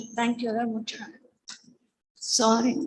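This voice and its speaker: The woman's voice sits high in pitch. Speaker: academic presenter, historian. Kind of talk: conference presentation. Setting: convention centre session. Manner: fast; halting.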